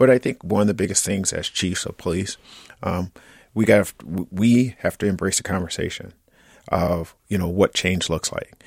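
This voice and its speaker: A man with a plain, everyday voice speaks at a moderate pace, fairly low in pitch, with fairly even intonation. The recording is very clean, with a silent background and a dry, close sound with no echo. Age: 50s. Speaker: police chief. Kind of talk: radio interview. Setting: studio.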